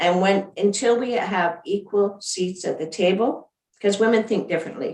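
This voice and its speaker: This woman talks at a moderate pace with ordinary pitch variation in an unremarkable speaking voice. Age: 60s. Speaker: former provincial premier. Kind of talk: panel discussion.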